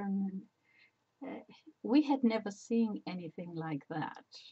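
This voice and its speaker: A woman's somewhat breathy voice against a quiet background. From Spain. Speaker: personal memoir vlogger. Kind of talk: casual talk to camera. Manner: hesitant, rambling. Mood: warm, reflective. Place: home room. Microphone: webcam.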